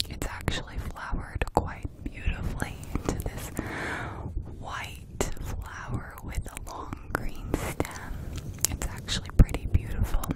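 A woman whispers very slowly, her loudness swinging widely. Noticeable background noise runs underneath. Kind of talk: ASMR whisper video, casual talk to camera. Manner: close-up whisper, soft.

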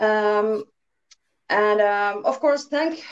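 A woman with a Finnish accent, fairly high in pitch, against a quiet background. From Finland. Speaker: band singer; interview guest. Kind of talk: casual interview. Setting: video call. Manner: halting. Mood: relaxed, friendly. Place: home room. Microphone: video call.

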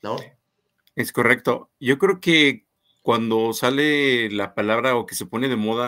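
A man speaks at a medium pitch with fairly even intonation. His tone is bright and sharp, and the background is quiet. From Guanajuato, Mexico. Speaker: co-host, knife enthusiast; co-host. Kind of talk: casual live stream chat. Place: home room.

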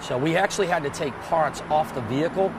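Over noticeable background noise, a man talks at a moderate pace with ordinary pitch variation, in a dry sound with no echo. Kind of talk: interview answer. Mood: calm, matter-of-fact. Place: waterside. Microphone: lapel.

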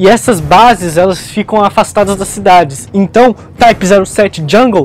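Heard in a dry recording with no echo, a man with a high pitch speaks at a fairly slow pace with ordinary pitch variation. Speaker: presenter. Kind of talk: educational explainer. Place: shop. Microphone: lapel.

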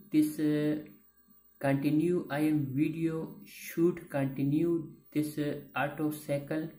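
A woman with a very deep, low pitch talks very slowly and with fairly even intonation, her voice echoing audibly in the room over faint background music. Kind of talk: tutorial. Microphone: phone near.

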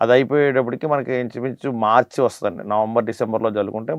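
A man speaks at a medium pitch with ordinary pitch variation in an unremarkable speaking voice. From Andhra Pradesh, Konaseema district. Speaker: coconut farmer. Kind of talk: interview explanation. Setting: studio.

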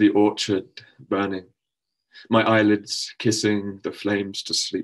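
A man's fairly low-pitched voice in a monotone, flat intonation against a quiet background. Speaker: poet. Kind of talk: poetry reading. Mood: calm, solemn. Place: home room. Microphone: webcam.

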